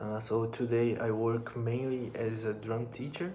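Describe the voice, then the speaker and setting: Talking fairly slowly with a Brazilian accent, a man at a medium pitch keeps fairly even intonation amid audible room echo and noticeable background noise. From northern Brazil, Amapá. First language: Portuguese. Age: 20s. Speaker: musician and drum teacher. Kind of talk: personal vlog monologue. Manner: halting, with repetitions.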